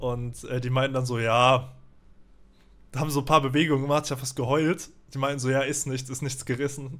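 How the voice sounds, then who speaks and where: A man speaks at a fairly quick pace with medium pitch and monotone, flat intonation. Long, frequent pauses break up his speech. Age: 20s. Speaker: streamer; guest. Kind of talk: casual chat. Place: home room. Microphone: studio mic.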